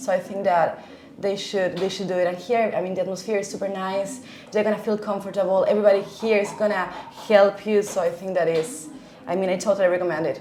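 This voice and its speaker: Talking at a very fast pace in a Spanish accent, a woman is heard with noticeable background noise and audible room echo. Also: medium pitch for a woman. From Argentina. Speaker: language teacher. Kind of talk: interview. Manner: hesitant, many fillers; enthusiastic.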